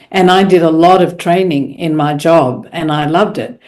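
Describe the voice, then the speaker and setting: In an Australian accent, a woman speaks with a fairly low voice. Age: 70s. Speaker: professional speaker. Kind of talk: podcast interview. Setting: podcast.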